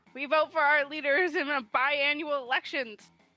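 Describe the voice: A woman uses a put-on character voice pitched high, at a moderate pace. Music plays in the background.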